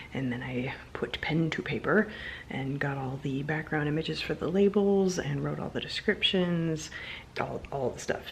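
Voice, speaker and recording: At a moderate pace, a woman speaks quietly with lively intonation. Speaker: vlogger and candle maker. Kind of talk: casual vlog chat. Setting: home at night.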